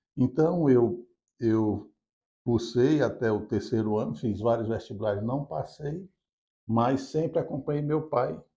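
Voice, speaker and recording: A man's dark, mellow, somewhat breathy voice sits at medium pitch and moves at a fairly slow pace. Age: 60s. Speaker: business founder. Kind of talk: interview.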